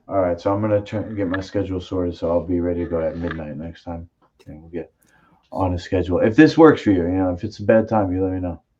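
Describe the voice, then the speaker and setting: A man's very deep, low voice with a dark, mellow tone, very fast pace, ordinary pitch variation and big swings in loudness. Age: 40s. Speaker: martial arts podcast host. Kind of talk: casual chat.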